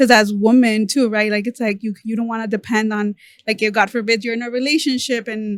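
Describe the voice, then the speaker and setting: Speaking at a very fast pace, a woman with a Spanish accent uses a fairly high pitch and monotone, flat intonation. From Los Angeles, California (Mexican-American). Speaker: podcast host. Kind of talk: casual chat.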